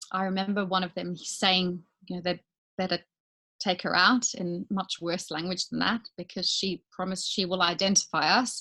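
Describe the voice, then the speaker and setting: In a South African accent, a woman speaks with a bright, sharp tone and fairly even intonation. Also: medium pitch for a woman, moderate pace. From South Africa, Johannesburg. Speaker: business owner. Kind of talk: interview testimony.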